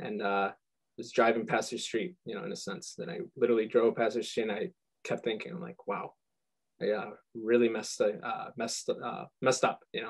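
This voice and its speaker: A man with a Midwestern US accent at a fairly quick pace, with big swings in loudness. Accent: US Midwest. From Michigan, US. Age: 20s. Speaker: musician. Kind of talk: interview. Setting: video call. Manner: halting, stuttering.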